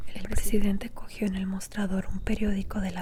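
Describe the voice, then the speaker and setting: A woman's whisper comes through noticeable background noise. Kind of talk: audiobook reading. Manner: whispered.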